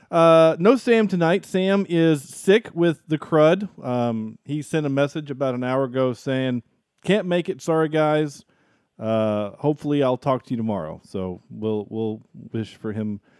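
A man with a slight Southern US accent and a fairly high pitch speaks at a fairly slow pace with lively intonation, in a dry, close sound with no echo. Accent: Southern accent, mild. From US South. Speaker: podcast host. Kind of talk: casual chat. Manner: hesitant, filler-heavy.

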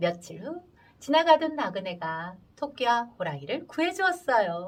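A woman's fairly high voice with very wide pitch swings, at a fairly slow pace. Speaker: storyteller. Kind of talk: adult folktale storytelling. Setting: radio studio.

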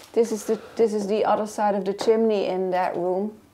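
With a dark, mellow tone, a woman speaks at a moderate pace. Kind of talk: casual vlog chat.

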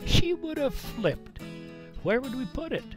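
Behind the man's voice, music is playing. He talks at a moderate pace. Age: 70s. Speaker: senior storyteller. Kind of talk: personal storytelling monologue.

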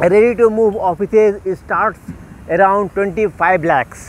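A man speaks in a high voice. The sound is dry, with no echo. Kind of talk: sales walkthrough commentary. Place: street. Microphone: phone near.

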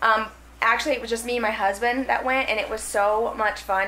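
A woman speaks fairly quickly while light background noise plays behind her. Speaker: home vlogger. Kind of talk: casual vlog chat. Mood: cheerful, chatty. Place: kitchen. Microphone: phone near.

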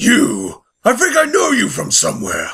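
In a put-on character voice, a man sounds raspy and raised, projecting his words. He goes at a fairly slow pace. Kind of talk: comic overacting. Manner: menacing, taunting, laughing.

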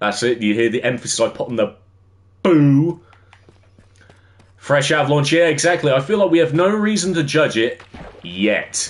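This man has an English accent. His pitch swings very widely. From England. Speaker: gaming streamer. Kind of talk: casual livestream chat while gaming. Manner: casual, filler-heavy. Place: home room.

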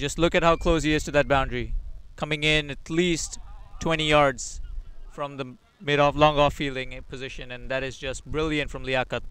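A man's fairly high voice in a flat monotone, broken by long, frequent pauses. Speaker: cricket commentator. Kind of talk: live sports commentary.

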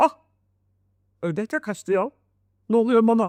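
A woman puts on a character voice at a fairly high pitch. She talks at a moderate pace. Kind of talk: bedtime story. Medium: read story. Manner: boastful, theatrical.

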